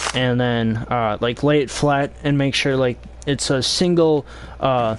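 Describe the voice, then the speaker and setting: At a fairly slow pace, a man talks at medium pitch with fairly even intonation and very even loudness. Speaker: video game streamer. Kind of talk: live gameplay stream chat. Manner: halting, many fillers.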